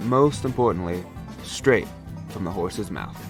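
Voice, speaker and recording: With music playing behind him, a man talks in a lively intonation at a moderate speed. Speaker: radio narrator. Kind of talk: radio show introduction.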